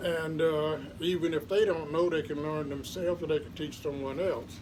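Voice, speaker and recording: Amid noticeable background noise and audible room echo, a man talks at a moderate pace in a fairly high pitch with fairly even intonation. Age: 80s+. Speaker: lay Bible teacher. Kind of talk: Bible teaching monologue. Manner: informal, conversational.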